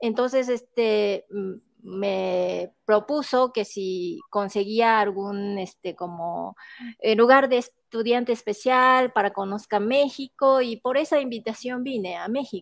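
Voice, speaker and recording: Speaking very slowly with a Japanese accent, a woman uses a fairly high pitch and ordinary pitch variation, the sound dry with no echo and the background quiet. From Japan, Shiga prefecture. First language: Japanese (speaking Spanish). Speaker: art professor and researcher; interviewee. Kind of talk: interview. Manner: halting, many fillers. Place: home room. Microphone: earbuds.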